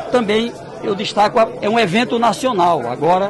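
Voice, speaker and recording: With crowd noise behind him, a high-pitched man speaks at a moderate pace. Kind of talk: press interview answer. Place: hall. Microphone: handheld.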